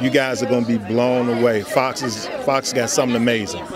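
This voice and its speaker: A man at a moderate pace, dry sound with no echo, crowd noise in the background. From Chicago. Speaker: comedic actor. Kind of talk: red carpet interview. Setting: red carpet event. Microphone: handheld.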